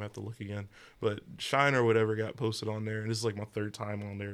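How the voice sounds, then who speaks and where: On a very clean recording with a silent background, a man speaks at a very fast pace in a fairly low pitch with a Southern US accent. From US South. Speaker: rapper and jazz artist. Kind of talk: casual chat. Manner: animated, joking.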